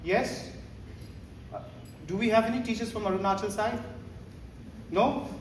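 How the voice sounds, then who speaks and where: Amid noticeable background noise and audible room echo, a man with a high pitch talks at a fairly quick pace, leaving long, frequent pauses. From Northeast India (Shillong, Meghalaya). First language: Hindi. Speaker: teacher trainer. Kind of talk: training workshop talk. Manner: animated, code-switching Hindi and English.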